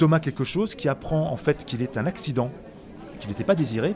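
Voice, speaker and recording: Crowd noise fills the background as a man talks at a very fast pace. His fairly high-pitched voice has lively intonation. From Autun, Burgundy, France. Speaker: children's author and actor. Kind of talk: interview. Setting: book fair.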